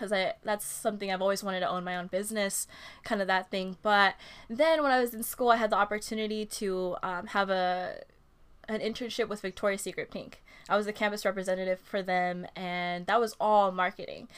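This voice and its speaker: On a very clean recording with a silent background, a woman with a Californian accent talks at a fairly quick pace, at medium pitch, with fairly even intonation. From Southern California, Ventura County. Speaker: substitute teacher and small baking business owner. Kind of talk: casual interview chat.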